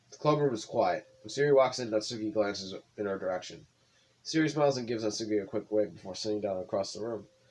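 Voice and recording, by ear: Someone reads the text aloud in a natural voice.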